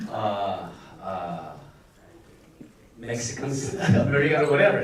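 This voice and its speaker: Over noticeable background noise and audible room echo, a man speaks at a fairly high pitch with very wide pitch swings. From Philippines. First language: Filipino (Tagalog). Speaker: actor. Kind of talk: film festival Q&A panel. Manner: halting, many fillers.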